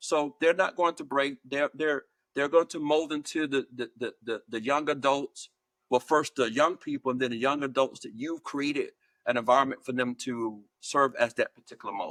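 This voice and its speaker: A man with an American accent has a normal speaking voice, fairly high in pitch, at a moderate pace with fairly even intonation. The sound is dry and close, with no echo. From US South, Georgia. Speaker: higher education leader and author. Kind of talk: interview. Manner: measured, with many fillers and repeats.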